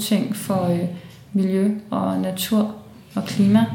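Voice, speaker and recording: A woman's medium-pitched voice at a very slow pace, with audible room echo and noticeable background noise. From Denmark, Copenhagen (Valby). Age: 20s. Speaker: climate activist, philosopher. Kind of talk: interview. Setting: indoor room at student house.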